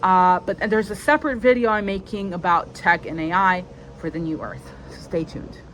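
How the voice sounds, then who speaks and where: A normal speaking voice from a woman, medium-pitched, fairly quick, with ordinary pitch variation and big swings in loudness. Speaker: spiritual content creator. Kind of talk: solo video monologue. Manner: casual, many fillers.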